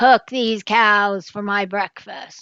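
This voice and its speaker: A woman's put-on character voice at a medium pitch. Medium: read story. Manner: loud, demanding.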